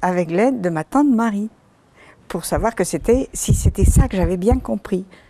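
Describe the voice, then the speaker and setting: A woman of medium pitch with a dark, mellow tone, lively intonation and a Breton accent. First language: Breton (speaking French). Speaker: author. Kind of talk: interview.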